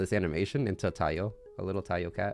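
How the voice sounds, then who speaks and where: A man rattles off his words very fast as music plays in the background. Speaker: vtuber streamer. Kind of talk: casual live stream chat. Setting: live stream with camera.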